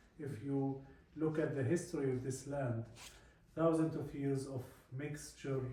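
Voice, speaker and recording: A man with an Arabic accent speaks at a fairly high pitch, his intonation flat and monotone. Long pauses come often, over noticeable background noise and audible room echo. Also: fairly slow pace. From Palestine. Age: 40s. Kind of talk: talk to a visiting group. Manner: halting with many fillers.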